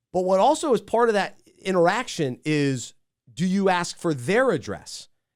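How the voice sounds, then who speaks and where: Over a very clean recording with a silent background, a man speaks at a moderate pace. His high-pitched voice moves through very wide pitch swings. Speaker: podcast host. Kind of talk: casual chat.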